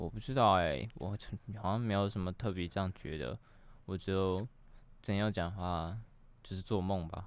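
With long, frequent pauses, a man speaks in a very deep, low voice on a very clean recording with a silent background. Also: ordinary pitch variation, moderate pace. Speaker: guest standing in as host. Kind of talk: casual chat. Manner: joking, laughs often.

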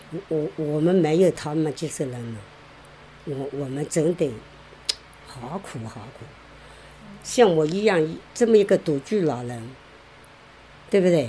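A woman's very deep, low voice with lively intonation, at a fairly slow pace with long, frequent pauses, over noticeable background noise. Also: big swings in loudness. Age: 70s. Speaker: care recipient. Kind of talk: interview. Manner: halting.

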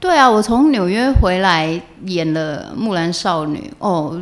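Speaking very slowly, a woman with a slight central Taiwanese accent uses a fairly low pitch. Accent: coastal Changhua Taiwanese accent, slight. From Taiwan, Changhua. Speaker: stage and screen actress. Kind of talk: interview conversation.

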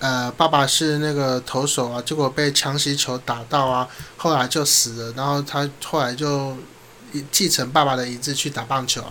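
A man talks at a moderate pace with a fairly high pitch. His intonation is monotone and flat. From southern Taiwan. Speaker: radio host. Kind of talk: casual chat.

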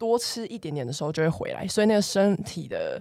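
Using a normal speaking voice, a woman with a medium pitch talks at a fairly quick pace with lively intonation. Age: 20s. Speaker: fitness coach. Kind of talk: casual chat.

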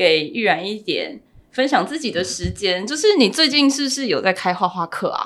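A woman talks at a moderate speed, her fairly high voice swinging very widely in pitch. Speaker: family lawyer and podcast host. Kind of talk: interview.

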